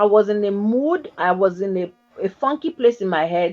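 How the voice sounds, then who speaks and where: Music plays in the background as a woman speaks in an animated tone. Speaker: talk show host. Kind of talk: casual chat.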